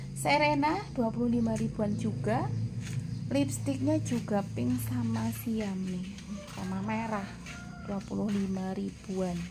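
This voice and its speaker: The speaker goes at a very slow pace, with noticeable background noise. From Central Java, Indonesia. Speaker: plant seller. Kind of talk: sales pitch. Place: garden. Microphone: phone near.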